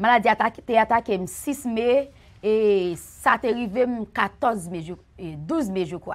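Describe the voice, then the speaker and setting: This woman, with a Haitian accent, talks at a very slow pace and a fairly high pitch. Her intonation is lively, and her loudness swings widely. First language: Haitian Creole (speaking French). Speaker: church member giving testimony; guest. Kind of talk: testimony. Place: studio.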